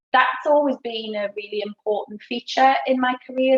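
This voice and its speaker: Recorded with a dry, close sound and no echo, a woman with a northeast England accent speaks at a moderate pace with ordinary pitch variation. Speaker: learning and development director. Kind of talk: career talk at online event. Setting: video call from home.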